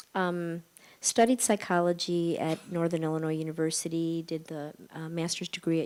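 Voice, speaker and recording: Speaking in a Midwestern accent, a woman keeps a fairly low pitch, a moderate pace and fairly even intonation. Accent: American Midwestern. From US Midwest, Chicago suburbs. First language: Spanish. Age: 50s. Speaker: psychologist and panelist. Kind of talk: panel discussion. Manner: halting, many fillers.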